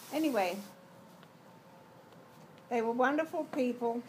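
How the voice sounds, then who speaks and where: A woman with a London accent. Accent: British English (London). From London, England. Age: 80s+. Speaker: grandmother. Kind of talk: interview answer.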